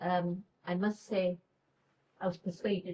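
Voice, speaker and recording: The voice has a dark, mellow tone and is somewhat breathy, delivered at a fairly slow pace with monotone, flat intonation. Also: woman. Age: 80s+. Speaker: patient. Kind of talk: testimony. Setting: clinic event room with audience.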